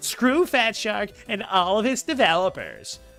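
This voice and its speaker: A whiny, put-on character voice, fairly high in pitch and at a fairly slow pace, over faint music in the background. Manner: mocking, complaining.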